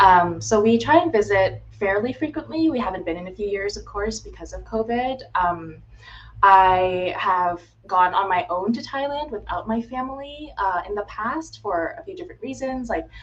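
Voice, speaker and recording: A woman speaks at a moderate pace with an American accent, her pitch sitting in the medium range. Her pitch swings very widely and her loudness rises and falls sharply. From US, Florida. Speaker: healthcare consultant. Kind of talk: casual interview on livestream.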